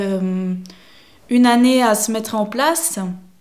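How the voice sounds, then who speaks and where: A woman speaks at a fairly high pitch with ordinary pitch variation. Audible room echo surrounds her voice. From French-speaking Switzerland, near Vevey. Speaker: paint shop owner, self-employed entrepreneur. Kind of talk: interview. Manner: hesitant, many fillers.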